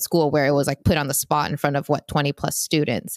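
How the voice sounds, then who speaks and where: A woman with a Vietnamese accent speaks in a dry, close sound with no echo. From US, Vietnamese American family. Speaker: podcast co-host. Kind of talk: casual chat.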